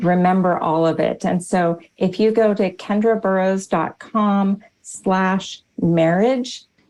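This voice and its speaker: A woman speaks in an ordinary speaking voice at a medium pitch, her intonation fairly even. The background is quiet. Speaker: former teacher, marriage author. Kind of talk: interview.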